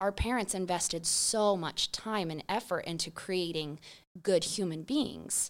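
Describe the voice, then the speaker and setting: On a very clean recording with a silent background, a woman with a plain, everyday voice and an American accent speaks at a medium pitch and a fairly slow pace with ordinary pitch variation. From Idaho (Boise area), US. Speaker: small business founder, mother. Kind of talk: casual chat.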